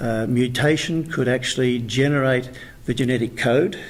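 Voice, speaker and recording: With an Australian accent, a man speaks at a medium pitch, somewhat breathy and with fairly even intonation. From Australia, rural New South Wales. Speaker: author. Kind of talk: interview.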